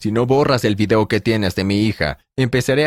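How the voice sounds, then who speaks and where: A normal speaking voice with ordinary pitch variation, at a moderate pace. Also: man. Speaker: story narrator. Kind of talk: dramatic first-person narration. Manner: tense, suspenseful, urgent storytelling.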